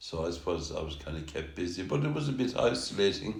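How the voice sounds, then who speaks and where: A man with a Kerry accent at a fairly quick pace. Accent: Kerry Irish. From Tralee, Ireland. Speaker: musician. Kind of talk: interview answer.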